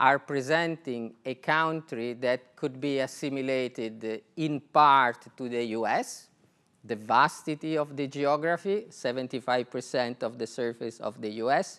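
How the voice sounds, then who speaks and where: A man with an Italian accent speaks at a fairly slow pace and medium pitch with ordinary pitch variation and a bright, sharp tone, in a very clean recording with a silent background. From Italy. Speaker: telecom executive. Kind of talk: conference talk. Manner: hesitant, many fillers.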